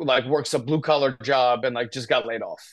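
A man with a medium pitch and fairly even intonation speaks in an ordinary speaking voice. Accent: American. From US, northern New Jersey. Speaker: addiction recovery advocate. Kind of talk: casual interview, personal story.

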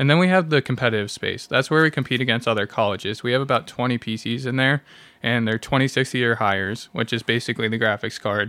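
Speaking at a very fast pace, a man with a medium pitch, ordinary pitch variation and a bright, sharp tone is heard on a very clean recording with a silent background. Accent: American. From US East Coast, Washington DC. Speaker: college esports director. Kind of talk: casual interview.

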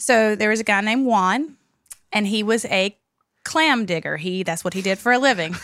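A woman with a plain, everyday voice talks at a moderate pace. Her pitch is fairly high, with ordinary pitch variation. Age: 40s. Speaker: podcast co-host. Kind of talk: storytelling; casual chat. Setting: studio.

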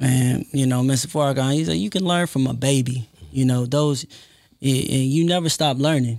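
A man's medium-pitched, a normal speaking voice at a moderate pace, with very even loudness. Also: ordinary pitch variation. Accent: American. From Compton, California. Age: 20s. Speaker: software developer and entrepreneur. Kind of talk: casual interview.

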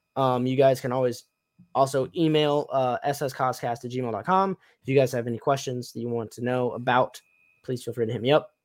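A man with an American accent, medium-pitched, at a fairly quick pace. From US South, Tennessee. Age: 20s. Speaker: cosplay podcast host. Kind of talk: casual chat. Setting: live stream. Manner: animated.

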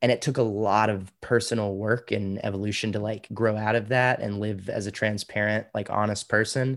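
Against a silent background in a very clean recording, a man with an American accent speaks in a fairly low, flat monotone. His pace is moderate, with hardly any pauses. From Austin, Texas. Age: 30s. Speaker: comedian and comedy club owner. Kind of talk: interview.

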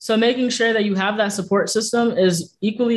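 A man speaks at a very fast pace. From Jamaica. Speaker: streamer and activist. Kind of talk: casual interview.

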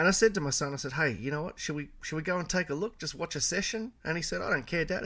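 A bright, sharp tone with vocal fry races at a very fast pace, its intonation lively, on a very clean recording with a silent background. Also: man. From Melbourne, Australia. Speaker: car enthusiast and content creator. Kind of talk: casual chat.

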